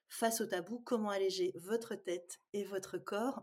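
A woman speaks in a plain, everyday voice. Her pitch is medium, with ordinary pitch variation. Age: 50s. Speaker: psychologist and dietitian. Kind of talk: interview.

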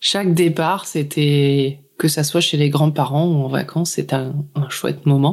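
A woman's very deep, low pitch at a fairly slow pace, with monotone, flat intonation. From northern France, Lille area. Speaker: podcaster. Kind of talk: testimony.

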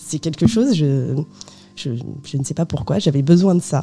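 With music playing behind her, the woman's intonation is lively. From France, of Portuguese parents. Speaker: biographer, former journalist. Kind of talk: radio interview. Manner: hesitant, many fillers.

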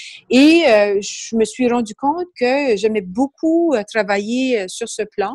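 In a slight Acadian accent, the speaker talks at a very slow pace with hardly any pauses, lively intonation and big swings in loudness, the sound dry and close with no echo. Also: woman, fairly high pitch for a woman. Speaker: business book club founder. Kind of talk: interview.

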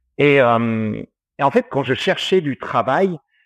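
Speaking at a very slow pace with a slight non-native accent, a man shows ordinary pitch variation. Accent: slight foreign accent in French. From Australia. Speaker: distiller. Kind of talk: interview. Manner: halting, many fillers.

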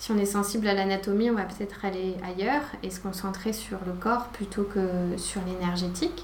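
Soft-spoken and medium-pitched, a woman talks at a moderate pace with fairly even intonation, against noticeable background noise and audible room echo. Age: 40s. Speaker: yoga teacher. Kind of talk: casual chat.

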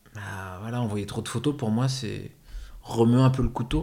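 A man at a medium pitch talks in a dark, mellow, somewhat breathy tone with monotone, flat intonation. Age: 30s. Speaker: actor and life coach. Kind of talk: testimony.

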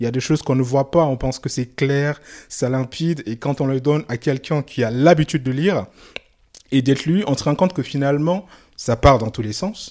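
This speaker has a West African accent and talks at a fairly quick pace with ordinary pitch variation. The recording is very clean, with a silent background. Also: man, fairly high pitch for a man. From Mali. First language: Soninke (speaking French). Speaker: novelist. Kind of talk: interview. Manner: halting.

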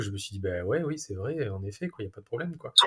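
Very wide pitch swings in a somewhat breathy male voice. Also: very clean recording, silent background. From southern France. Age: 40s. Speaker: family traveller. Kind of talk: casual interview. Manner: hesitant, many fillers.

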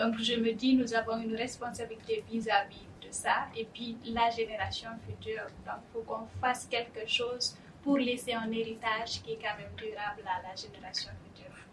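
A woman speaks in a monotone, flat intonation with vocal fry, her loudness swinging widely. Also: fairly high pitch for a woman, moderate pace. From Guinea, West Africa. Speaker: startup founder. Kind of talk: panel discussion. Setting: studio.

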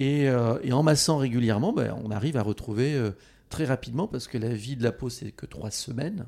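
A man talks at a fairly quick pace in a dark, mellow tone with ordinary pitch variation. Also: medium pitch for a man. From France, Haute-Corrèze. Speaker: pedicure expert and brand founder. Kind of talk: interview.

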